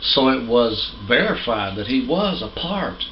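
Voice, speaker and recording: A man speaks amid noticeable background noise, his voice carrying audible room echo. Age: 60s. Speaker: pastor. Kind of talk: sermon. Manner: halting.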